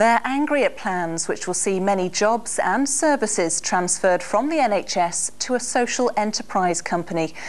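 A woman speaks at a moderate pace with hardly any pauses and lively intonation. She has a plain, everyday voice at a medium pitch. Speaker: radio newsreader. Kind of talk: news reading. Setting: studio.

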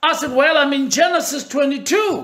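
A man's raised, projected voice, bright and sharp in tone, at a fairly slow pace with ordinary pitch variation against a quiet background. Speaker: pastor / preacher; pastor, preacher. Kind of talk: personal anecdote told in a sermon. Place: home room. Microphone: phone near.

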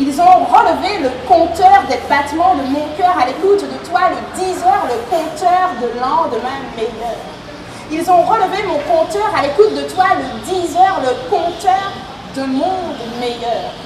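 A woman's extremely high-pitched voice with lively intonation, at a very slow pace over noticeable background noise. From Martinique. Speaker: slam poet and storyteller. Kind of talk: slam poetry performance. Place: tent.

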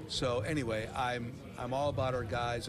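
A man's voice with noticeable background noise. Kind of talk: interview answer. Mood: calm, upbeat, supportive. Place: stadium. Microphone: handheld.

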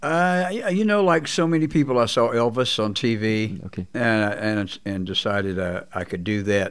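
Over a quiet background, a man with a Texan accent speaks at a moderate pace and medium pitch, using very wide pitch swings and hardly any pauses. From Texas. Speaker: blues guitarist; guest. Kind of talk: interview. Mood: reflective, candid. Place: studio. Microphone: studio mic.

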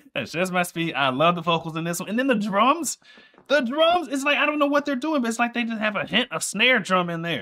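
A raised, projected voice at a fairly quick pace, very wide pitch swings, against a quiet background. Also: man. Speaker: streamer reacting to music. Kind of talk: casual reaction commentary. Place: home room.

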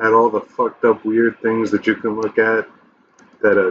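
This man speaks at a moderate pace. Light background noise sits behind him. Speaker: gaming video creator. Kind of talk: casual gaming commentary. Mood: nostalgic, relaxed, profane. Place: home room.

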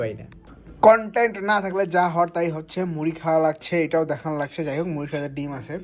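This man has a high pitch and ordinary pitch variation. His tone is animated. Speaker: vlogger, university student. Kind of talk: casual vlog narration.

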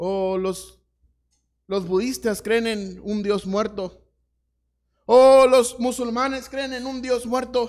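A man's extremely high pitch, fairly even intonation, very slow pace and long, frequent pauses. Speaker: pastor. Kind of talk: sermon. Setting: church. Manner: earnest, pastoral, repetitive cadence building to an exhortation; informal, hesitant with fillers at the start. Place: church.

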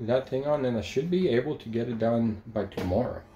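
The voice has a dark, mellow tone with ordinary pitch variation. Room echo is audible. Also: man. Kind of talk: casual vlog chat. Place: home room. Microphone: phone near.

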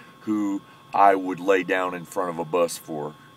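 With an American accent, a man speaks fairly slowly in a fairly even tone, the sound dry with no echo. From US. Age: 40s. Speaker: military veteran and powerlifter. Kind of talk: casual vlog monologue. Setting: in a parked truck. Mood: earnest, friendly, explaining himself. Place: car. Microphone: phone near.

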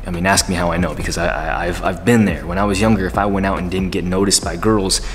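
Over music in the background, a man with a very deep, low pitch speaks at a fairly quick pace. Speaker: dating advice youtuber. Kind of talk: casual vlog chat. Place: home room.

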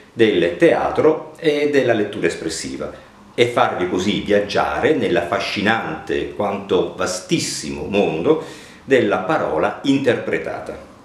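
A man speaks at a fairly slow pace with very wide pitch swings. Audible room echo surrounds his voice. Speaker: actor and reading teacher. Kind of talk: channel introduction to camera. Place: home room.

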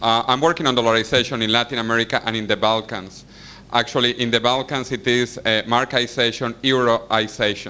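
Talking at a fairly quick pace, a man uses a bright, sharp tone at a medium pitch with monotone, flat intonation. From Venezuela. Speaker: audience questioner. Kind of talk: question during Q and A. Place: hall.

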